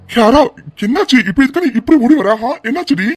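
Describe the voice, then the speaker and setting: This is a cartoonish character voice pitched high. It moves at a fairly quick pace. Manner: earnest, pleading.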